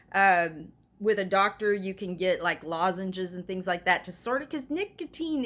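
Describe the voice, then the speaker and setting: A woman with an ordinary speaking voice, medium in pitch, at a moderate pace. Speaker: pastor. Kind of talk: self-help talk.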